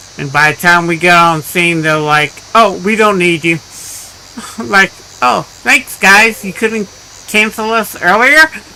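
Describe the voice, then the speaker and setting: A man talks in a high pitch at a fairly slow pace. Long, frequent pauses and noticeable background noise mark the clip. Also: lively intonation. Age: 60s. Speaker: gaming live streamer. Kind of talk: casual live stream chat.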